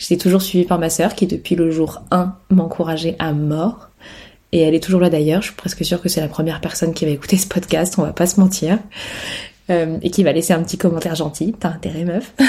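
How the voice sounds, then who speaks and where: Fairly low in pitch, a woman speaks at a fairly quick pace. Her intonation is monotone and flat. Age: 30s. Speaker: podcast host, photographer. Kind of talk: casual solo monologue. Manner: casual, hesitant with fillers.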